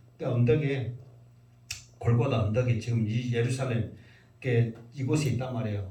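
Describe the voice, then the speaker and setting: A man with a medium pitch and a dark, mellow, somewhat breathy tone speaks at a fairly quick pace with fairly even intonation and audible room echo. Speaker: pastor. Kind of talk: sermon. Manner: conversational, casual.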